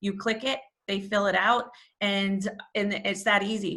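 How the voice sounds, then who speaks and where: A woman speaks loudly in a New York accent, her tone bright and sharp. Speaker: nonprofit volunteer leader. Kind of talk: online information session presentation. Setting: video call.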